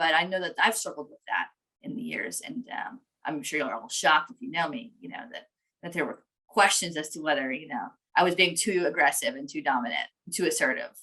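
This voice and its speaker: A woman with a fairly low pitch talks at a fairly quick pace in a bright, sharp tone, her pitch swinging very widely and her loudness shifting in big swings. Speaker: lawyer and webinar presenter. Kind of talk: webinar presentation. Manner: fast.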